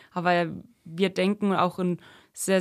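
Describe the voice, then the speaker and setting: A woman with a fairly low pitch speaks at a moderate pace in a monotone, flat intonation, on a very clean recording with a silent background. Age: 30s. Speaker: youth football assistant coach. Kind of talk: podcast interview. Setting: podcast studio.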